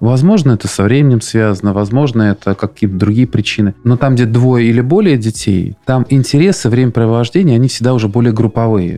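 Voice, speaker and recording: A man with an unremarkable speaking voice, medium pitch, ordinary pitch variation, very even loudness, a fairly quick pace and hardly any pauses. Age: 40s. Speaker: podcast host, fathers' council chairman. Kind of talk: interview.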